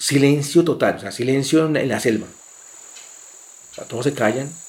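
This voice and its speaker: In a normal speaking voice, a man with a fairly high pitch talks at a fairly slow pace and keeps his intonation fairly even. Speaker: son of kidnapping victims. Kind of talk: testimony.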